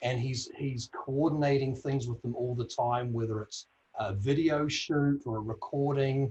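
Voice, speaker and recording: Speaking in a New Zealand accent, a man keeps a moderate pace and fairly even intonation. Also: medium pitch for a man. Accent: New Zealand accent, called funny by self. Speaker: audio industry executive on a career panel. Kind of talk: panel discussion.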